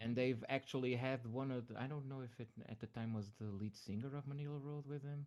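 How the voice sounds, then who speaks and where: Speaking with a Portuguese accent, a man keeps a medium pitch, a fairly quick pace, hardly any pauses and fairly even intonation. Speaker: music reviewer. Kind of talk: casual chat. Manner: halting.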